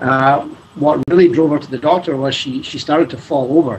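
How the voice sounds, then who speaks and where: Against noticeable background noise, a man with a Scottish accent and a fairly high voice speaks at a moderate pace with ordinary pitch variation. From Scotland. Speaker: scientist and charity fundraiser. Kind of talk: interview. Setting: video call.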